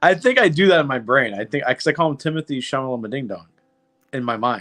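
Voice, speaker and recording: A man's fairly high voice with lively intonation over music in the background. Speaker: podcast co-host. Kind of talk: casual chat. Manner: animated.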